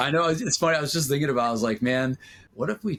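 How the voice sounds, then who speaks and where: A man speaks at a very fast pace in a dry, close sound with no echo. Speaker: podcast host and DJ promoter. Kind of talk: casual chat. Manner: loud at times.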